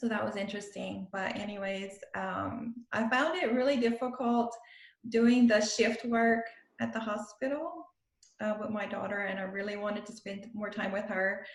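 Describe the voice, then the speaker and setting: A woman with a strong Louisiana accent, fairly high in pitch with ordinary pitch variation, at a moderate pace amid audible room echo. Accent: Cajun Louisiana accent, strong. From South Louisiana, Cajun country. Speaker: pharmacist and style coach. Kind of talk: podcast interview.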